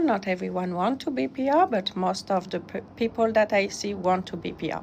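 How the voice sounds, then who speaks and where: Moderate pace with a French accent. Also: woman. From France. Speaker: immigration consultant. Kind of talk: webinar presentation. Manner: halting, many fillers.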